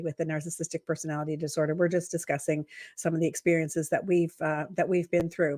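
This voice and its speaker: Speaking at a very fast pace, a woman keeps a monotone, flat intonation at a fairly low pitch in a very clean recording with a silent background. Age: 60s. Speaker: podcast host. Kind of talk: casual interview chat. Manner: halting, many fillers.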